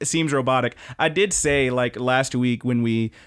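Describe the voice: What's heard here is plain reading aloud.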